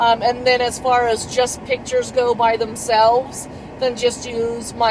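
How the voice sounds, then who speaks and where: A woman's speech comes at a moderate pace, with noticeable noise in the background. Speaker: vlogger. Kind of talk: vlog. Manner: rambling, filler-heavy.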